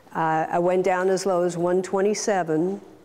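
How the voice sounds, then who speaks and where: A woman's voice over noticeable background noise. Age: 60s. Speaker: weight loss surgery patient. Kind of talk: testimony.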